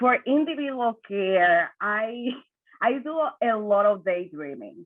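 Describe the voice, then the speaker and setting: A woman's lively intonation in a Spanish accent. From Dominican Republic. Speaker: suicide prevention worker. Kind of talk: panel discussion. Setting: video call.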